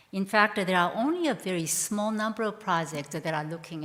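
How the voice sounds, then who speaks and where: A woman talks at a medium pitch with a non-native accent. Her pitch varies in an ordinary way. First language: not English. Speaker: education researcher, professor. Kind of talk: conference keynote address.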